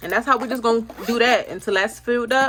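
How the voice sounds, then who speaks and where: A woman with a fairly high voice speaks at a fairly quick pace. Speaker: budgeting vlogger. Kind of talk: casual vlog. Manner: fast.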